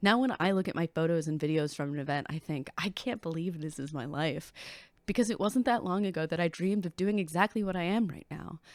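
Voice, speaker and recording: Fairly quick and with lively intonation, a woman speaks at a fairly low pitch on a very clean recording with a silent background and a dry, close sound with no echo. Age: 30s. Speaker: idol performer and YouTuber. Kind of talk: personal vlog reflection.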